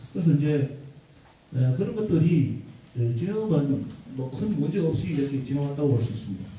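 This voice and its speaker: Long, frequent pauses break up speech with lively intonation, over noticeable background noise. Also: man, fairly high pitch for a man, moderate pace. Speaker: arts association leader presenting at forum. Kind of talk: forum presentation. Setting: conference hall with audience.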